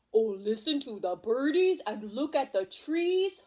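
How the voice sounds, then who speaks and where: Putting on a character voice, a woman speaks at a high pitch with very wide pitch swings and a fairly slow pace. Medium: read story. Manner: broken grammar, says me instead of I.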